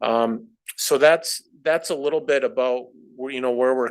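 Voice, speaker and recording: The speaker has an unremarkable speaking voice. The pace is moderate and the intonation fairly even. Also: man. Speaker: finance staff presenter. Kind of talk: board meeting presentation.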